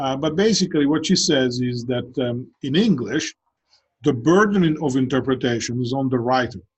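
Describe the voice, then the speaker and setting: This man's pitch sits fairly high for a male voice, with a somewhat breathy quality. His intonation is lively. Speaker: professor. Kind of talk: lecture. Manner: conversational with many fillers and repetitions.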